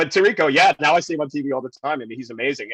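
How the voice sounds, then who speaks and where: Talking at a very fast pace, a man with an American accent makes very wide swings in pitch. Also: dry, close sound with no echo. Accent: New York accent (was strong in college). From New York City, Queens. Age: 50s. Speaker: TV news reporter. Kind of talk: podcast interview, casual chat. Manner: animated, conversational with false starts.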